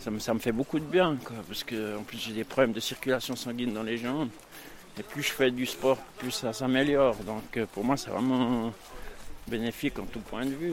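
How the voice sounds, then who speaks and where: Over noticeable background noise, a man of medium pitch speaks with ordinary pitch variation. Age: 50s. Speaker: program participant, former drug user. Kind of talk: testimony. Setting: outdoors, walking in forest.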